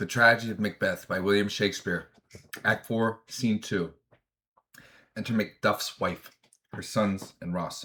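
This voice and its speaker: Putting on a character voice, a man speaks in a raspy, fairly low pitch at a moderate pace, with fairly even intonation and long, frequent pauses. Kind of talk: classical verse reading. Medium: read story. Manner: measured, earnest.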